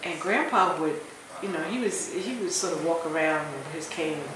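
A woman with an American accent, with audible room echo and noticeable background noise. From US Northeast, Philadelphia. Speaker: professor. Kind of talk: interview. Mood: reflective, firm at times. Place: hall. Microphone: phone near.

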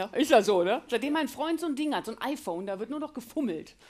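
A woman speaks at a high pitch. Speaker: comedian. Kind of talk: stand-up comedy routine. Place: stage. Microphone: headset.

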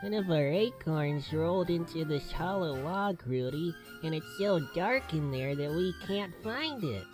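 The voice is at a middle pitch, with clear music in the background. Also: moderate pace. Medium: audio drama. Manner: excited, grateful.

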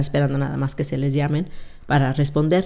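Her voice very deep and low with a dark, mellow tone, a woman talks at a fairly quick pace with ordinary pitch variation. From Mexico, Zacatecas; raised in California from age 8. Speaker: retired police officer; podcast guest. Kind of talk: interview, life story. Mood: calm, reflective. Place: studio. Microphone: studio mic.

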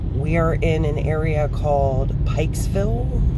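A man speaks at a very slow pace over loud background noise. The sound is dry with no echo. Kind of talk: casual vlog chat. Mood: wry, venting. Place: car. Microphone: phone near.

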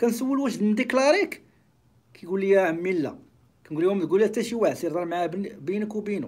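A man speaks at a high pitch in an animated tone. His pitch swings very widely. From Morocco. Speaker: YouTuber and accounting teacher; YouTuber, accounting teacher. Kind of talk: live stream monologue. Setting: live stream. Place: office. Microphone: phone near.

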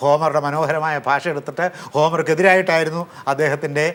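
This man speaks at a fairly high pitch. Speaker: professor. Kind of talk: lecture. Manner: formal; halting.

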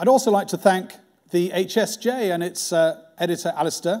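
A man speaks against a quiet background. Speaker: sponsor host introducing the lecture. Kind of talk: formal welcome speech. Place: hall.

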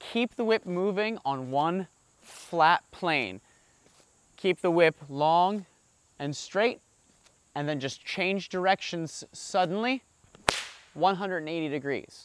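At a very slow pace with long, frequent pauses, a man speaks in a high voice with lively intonation, and the sound is dry with no echo. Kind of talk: explanatory tutorial. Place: garden.

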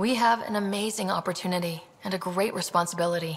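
This is a raspy, put-on character voice. It moves at a very fast pace. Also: female-sounding voice, medium pitch for a woman. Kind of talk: earnest, formal. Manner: inspiring, diplomatic. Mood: earnest, inspiring.

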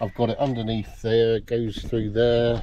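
At a moderate pace, a man speaks in a dark, mellow tone with little pitch movement. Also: medium pitch for a man.

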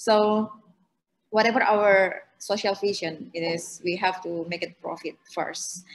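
In an Indonesian accent, a woman speaks at a very slow pace with fairly even intonation. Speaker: co-op startup CEO; panelist. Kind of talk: online panel presentation. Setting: video call. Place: home room. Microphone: video call.

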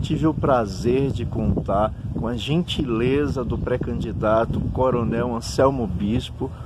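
With hardly any pauses, a man talks at a very slow pace over noticeable background noise. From Juazeiro, Bahia, Brazil. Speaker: teacher and interviewer. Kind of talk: interview. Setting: outdoors in a town square.

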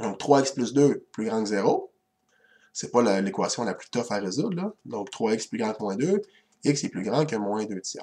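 Spoken in a Quebec accent, the voice has a dark, mellow tone and ordinary pitch variation. Its loudness swings widely against a quiet background. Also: man, medium pitch for a man. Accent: Québécois French. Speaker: math teacher. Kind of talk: lecture. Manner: hesitant, with frequent fillers. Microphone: webcam.

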